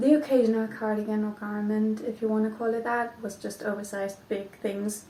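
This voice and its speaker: A woman speaks in a Flemish accent. Her pitch is fairly high. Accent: Belgian (Flemish) accent in English. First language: not English. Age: 20s. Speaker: knitting podcaster. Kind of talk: casual vlog chat. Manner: hesitant, many ums.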